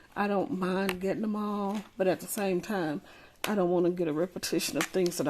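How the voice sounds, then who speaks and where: Speaking with an Alabama accent, a woman has a fairly low pitch. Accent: Southern US (Alabama). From Alabama, US South. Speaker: crafting YouTuber. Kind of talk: casual unboxing vlog. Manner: rambling, hesitant with fillers.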